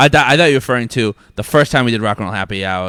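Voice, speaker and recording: A man's very fast, mumbling speech with lively intonation, on a very clean recording with a silent background. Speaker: brewery executive. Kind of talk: casual chat. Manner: mumbles, sounds fast; pauses while thinking.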